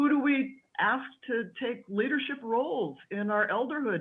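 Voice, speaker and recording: This woman talks with lively intonation. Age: 60s. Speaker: panelist on childless women. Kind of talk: group discussion.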